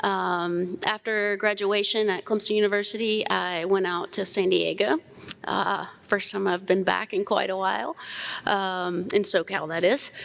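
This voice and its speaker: Fairly even intonation marks this woman's medium-pitched voice. She talks at a fairly slow pace. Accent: Southern US. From US South, South Carolina. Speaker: plant scientist, panelist. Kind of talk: conference panel discussion.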